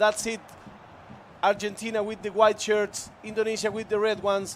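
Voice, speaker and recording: A moderate pace in a Spanish accent. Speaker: esports commentator. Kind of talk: live commentary.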